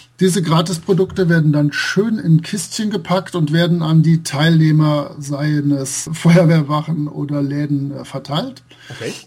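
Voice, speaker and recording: Amid noticeable background noise, a man with a fairly high voice talks at a fairly slow pace with hardly any pauses. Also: ordinary pitch variation. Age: 40s. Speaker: role-playing game blogger and translator. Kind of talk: casual interview.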